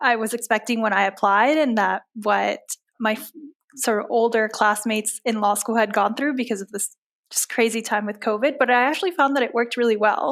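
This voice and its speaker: On a very clean recording with a silent background, a woman with an American accent speaks at a fairly high pitch with ordinary pitch variation. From Cuba, Panama and US. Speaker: law student, incoming associate. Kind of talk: interview.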